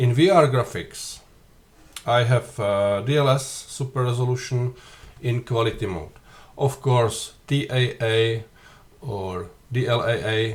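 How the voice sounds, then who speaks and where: A somewhat breathy man speaks at a medium pitch with a non-native accent. His pace is fairly slow, broken by long, frequent pauses. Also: ordinary pitch variation. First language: not English. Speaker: flight sim youtuber. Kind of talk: tutorial. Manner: halting.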